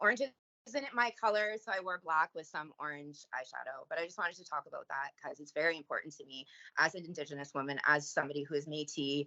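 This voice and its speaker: A woman with a strong Canadian accent speaks at a fairly quick pace with a very deep, low pitch. Her pitch variation is ordinary, and her loudness swings widely. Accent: thick Canadian. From Canada. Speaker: recovering addict and trafficking survivor. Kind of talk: public service announcement; podcast interview.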